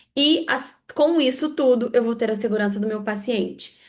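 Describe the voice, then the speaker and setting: The speech moves at a fairly slow pace. Room echo can be heard. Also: woman. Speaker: lecturer in aesthetic facial procedures. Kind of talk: online lecture.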